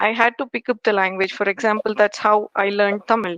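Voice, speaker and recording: A woman with a Telugu accent speaks at a fairly high pitch in a bright, sharp tone, recorded with a dry, close sound and no echo. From India, Karnataka. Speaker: engineering manager. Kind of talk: interview. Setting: podcast. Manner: hesitant, many fillers.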